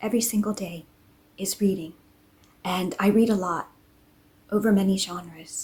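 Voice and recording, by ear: A woman talks at a moderate pace and a medium pitch. Her voice has a slightly husky edge and ordinary pitch variation.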